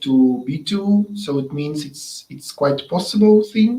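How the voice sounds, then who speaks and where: With a Russian accent, a somewhat breathy voice speaks at a very slow pace with ordinary pitch variation. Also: man. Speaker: webinar host. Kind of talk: interview. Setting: online webinar. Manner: halting.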